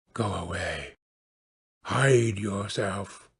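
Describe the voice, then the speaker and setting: The voice is a put-on character voice, raspy yet resonant. Its intonation stays fairly even. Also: man, fairly low pitch for a man. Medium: read story. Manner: grandiose yet weary.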